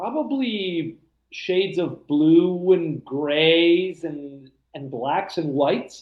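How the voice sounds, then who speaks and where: A man's voice of fairly high pitch. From childhood split between Argentina, US and Europe. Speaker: science fiction and fantasy writer. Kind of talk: interview. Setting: video call. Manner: halting, with many repeats.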